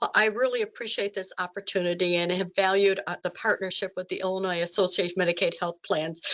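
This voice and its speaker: Very fast delivery in a monotone, flat intonation. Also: woman. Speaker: webinar presenter on rural health policy. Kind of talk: webinar presentation.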